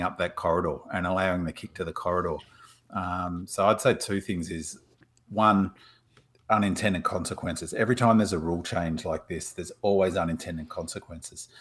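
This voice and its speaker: In a very clean recording with a silent background, a man speaks with an Australian accent. His pitch is very deep and low, and his pace is fairly quick. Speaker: podcast co-host. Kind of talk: casual chat.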